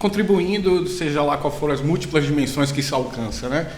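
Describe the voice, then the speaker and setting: There is noticeable background noise and audible room echo. A man with a Bahian accent talks at a fairly quick pace and a fairly high pitch, with ordinary pitch variation. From Brazil, Bahia (Salvador). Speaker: biology professor. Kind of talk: casual academic chat.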